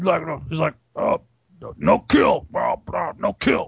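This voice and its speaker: A put-on character voice with a strong non-native accent. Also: man. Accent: thick, foreign-sounding. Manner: broken, pleading, halting speech.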